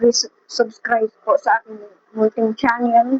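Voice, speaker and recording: Soft-spoken and flat in a monotone, a woman speaks at a fairly high pitch. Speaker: seamstress vlogger. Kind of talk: casual vlog talk. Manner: halting.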